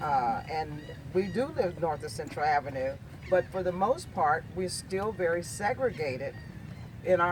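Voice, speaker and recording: Speaking at a moderate pace, a high-pitched man uses lively intonation over noticeable background noise. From US Northeast, Erie, Pennsylvania. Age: 60s. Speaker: community discussion participant. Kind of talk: group discussion. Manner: halting, with repetitions.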